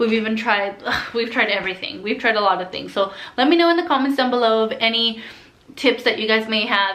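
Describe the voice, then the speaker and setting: Audible room echo and noticeable background noise surround a woman whose fairly high voice shows ordinary pitch variation. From Southern California. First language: Spanish. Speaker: flight attendant vlogger. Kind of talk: casual Q&A vlog. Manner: casual, filler-heavy.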